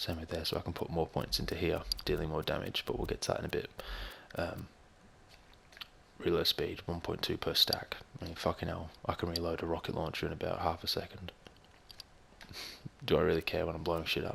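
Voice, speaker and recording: A quiet man at a fairly quick pace, with long, frequent pauses. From Australia. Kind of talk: gaming commentary. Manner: casual, swearing; quiet, low volume.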